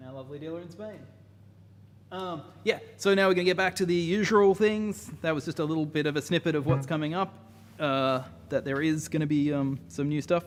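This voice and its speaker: A man with an Australian accent speaks at a fairly quick pace. His pitch is fairly high, with ordinary variation. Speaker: music tech developer presenting products. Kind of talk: live stream tutorial. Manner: casual with many fillers.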